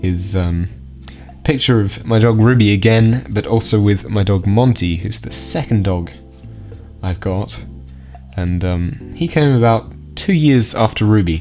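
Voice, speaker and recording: A man speaks with a fairly low pitch and very wide pitch swings. Music can be heard in the background. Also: fairly slow pace. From Australia. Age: young. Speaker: geocaching vlogger. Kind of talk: casual talk to camera. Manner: casual, hesitant.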